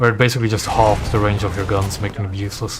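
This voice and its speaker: A man with a fairly low pitch, audible room echo and music in the background. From Belgium. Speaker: gaming streamer. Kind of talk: casual gameplay commentary. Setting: live stream.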